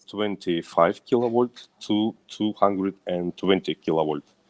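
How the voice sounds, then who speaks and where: In a very deep, low pitch, a man with a Russian accent talks at a very slow pace with fairly even intonation, the sound dry and close with no echo. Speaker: company manager. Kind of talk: business presentation. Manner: halting.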